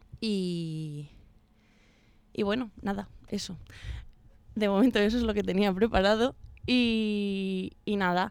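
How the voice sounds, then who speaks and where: A woman at a medium pitch, very slow, with ordinary pitch variation and long, frequent pauses. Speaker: university radio host. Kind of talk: casual chat. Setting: radio studio. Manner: hesitant, many fillers.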